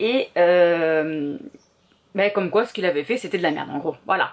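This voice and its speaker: Lively intonation marks this woman's medium-pitched voice as she speaks at a fairly slow pace. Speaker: vlogger. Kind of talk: casual vlog chat. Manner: hesitant, many fillers.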